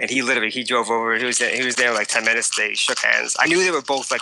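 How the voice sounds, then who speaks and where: With a plain, everyday voice, a man talks at medium pitch with ordinary pitch variation. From Long Island, New York. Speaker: musician. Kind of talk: interview.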